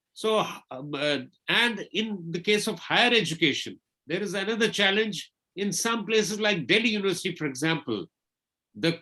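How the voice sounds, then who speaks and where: His pitch is high and his tone bright and sharp. The man moves at a moderate pace with lively intonation. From India, Kashmir (Srinagar). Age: 60s. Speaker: invited lecture speaker on technology. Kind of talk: webinar lecture. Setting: online webinar.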